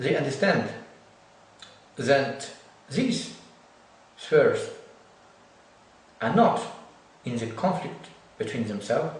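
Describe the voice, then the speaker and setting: Noticeable background noise and audible room echo surround a man speaking. He talks very slowly with long, frequent pauses and very wide pitch swings. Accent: Ukrainian. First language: Ukrainian. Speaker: lecturer in theology and social economics. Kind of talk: lecture. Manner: halting.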